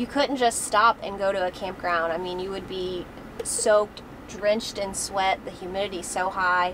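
Over noticeable background noise, the speaker keeps a moderate pace and fairly even intonation. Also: woman. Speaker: travel vlogger. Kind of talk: casual vlog chat. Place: car.

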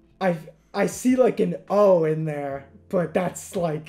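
Faint music plays in the background as a man speaks in a high pitch with ordinary pitch variation. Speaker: youtuber. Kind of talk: casual vlog chat. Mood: cheerful, laughing.

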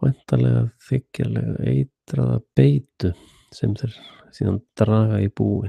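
A man speaks in a very deep, low, somewhat breathy voice with a dark, mellow tone and very wide pitch swings. The sound is dry with no echo, over a quiet background. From Iceland. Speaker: independent internet show host; internet talk show host. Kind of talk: solo monologue commentary; opinion commentary monologue. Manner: halting. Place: home room.

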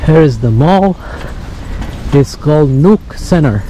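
The voice moves at a slow pace with a dark, mellow tone. Faint background noise sits behind it. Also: man.

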